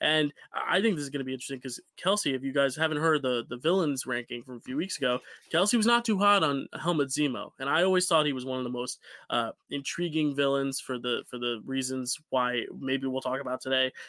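In a very clean recording with a silent background and a dry, close sound with no echo, a man with an American accent speaks very fast in a fairly high, bright, sharp voice, with an animated tone and ordinary pitch variation. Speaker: podcast host. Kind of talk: casual chat. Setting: video recording session. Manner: animated, joking.

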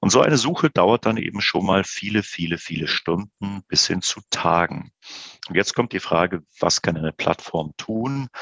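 A man with an ordinary speaking voice talks at a moderate pace and a fairly low pitch, with ordinary pitch variation and a dry, close sound with no echo. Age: 50s. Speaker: business executive. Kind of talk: podcast interview.

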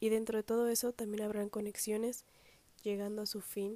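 A woman speaks in monotone, flat intonation with a dark, mellow tone. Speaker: podcast host. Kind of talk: motivational monologue.

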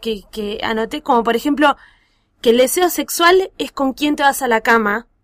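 A woman's high, lively voice at a fairly slow pace, dry and close with no echo. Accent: Rioplatense. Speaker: podcast host. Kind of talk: casual chat.

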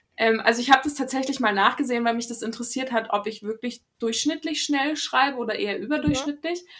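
A woman with a high pitch speaks at a very fast pace, with hardly any pauses and ordinary pitch variation. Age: 20s. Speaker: novelist. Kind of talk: interview. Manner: hesitant, many fillers.

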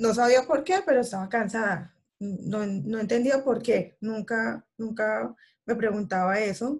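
Fairly high in pitch, a woman speaks at a fairly slow pace. Her voice is somewhat breathy, with ordinary pitch variation. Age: 30s. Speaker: guest sharing a health and weight-loss story. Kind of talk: casual interview. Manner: halting with many fillers.

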